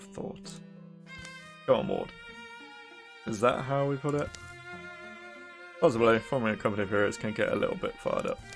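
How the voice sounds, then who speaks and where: A man speaks at a fairly quick pace, with long, frequent pauses. Music plays in the background. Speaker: let's play gamer. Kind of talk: reading game dialogue aloud. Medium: read story.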